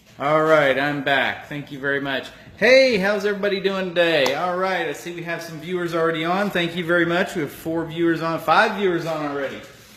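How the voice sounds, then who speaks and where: A man's high voice at a fairly quick pace with hardly any pauses and ordinary pitch variation, amid audible room echo and noticeable background noise. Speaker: cooking show host. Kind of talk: live cooking demonstration.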